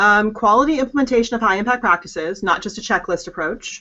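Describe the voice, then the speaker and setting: The pace is fairly quick for this woman. Her pitch shows ordinary variation. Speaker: higher education expert. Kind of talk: interview. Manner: fast.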